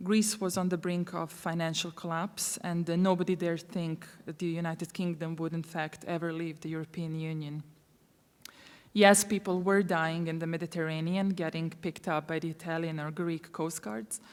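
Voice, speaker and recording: Speaking with a Croatian accent, a woman has a fairly low voice. Her pace is moderate and her intonation fairly even. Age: 30s. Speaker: refugee aid worker. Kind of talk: conference talk. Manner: halting, many fillers.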